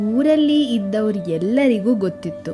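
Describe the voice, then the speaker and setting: Music plays in the background as a woman with a fairly high voice speaks with very wide pitch swings. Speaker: storyteller. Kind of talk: children's bedtime story narration.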